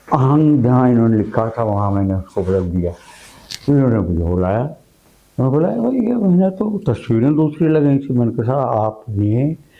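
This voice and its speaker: Amid noticeable background noise, a man at medium pitch talks with lively intonation and very even loudness. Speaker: veteran radio broadcaster and producer being interviewed. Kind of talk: interview answer, storytelling about past radio work.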